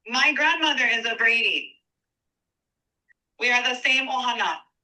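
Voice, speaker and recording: A woman's raised, projected voice, high-pitched, with ordinary pitch variation and a bright, sharp tone. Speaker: public commenter. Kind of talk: public testimony. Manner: slow.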